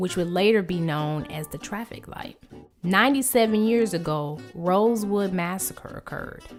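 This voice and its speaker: Music plays in the background as a woman speaks at a medium pitch. Her pace is moderate and her pitch varies in an ordinary way. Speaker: vlogger. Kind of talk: documentary-style narration.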